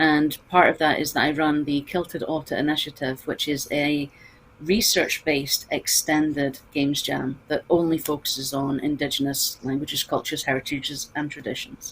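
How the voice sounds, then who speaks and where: A woman with a Scottish accent, a very deep, low pitch, monotone, flat intonation and a moderate pace over noticeable background noise. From Scotland. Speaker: games researcher. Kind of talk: panel discussion.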